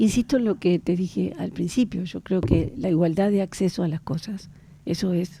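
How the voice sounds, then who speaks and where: This woman has an ordinary speaking voice with fairly low pitch. She talks at a moderate pace with lively intonation. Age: 60s. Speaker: government official, historian. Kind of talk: radio interview.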